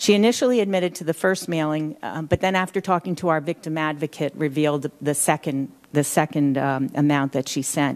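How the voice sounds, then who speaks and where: An American accent comes through. The delivery is fairly quick. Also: woman. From Pennsylvania. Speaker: elder rights advocate; witness. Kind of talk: congressional testimony. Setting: hearing room. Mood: earnest, measured. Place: hall. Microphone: podium.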